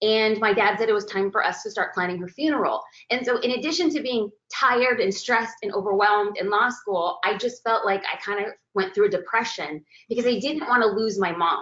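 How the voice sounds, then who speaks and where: Animated in tone, a woman speaks at a fairly quick pace in a fairly high pitch with ordinary pitch variation. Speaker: photographer and business coach. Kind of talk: webinar presentation. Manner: fast.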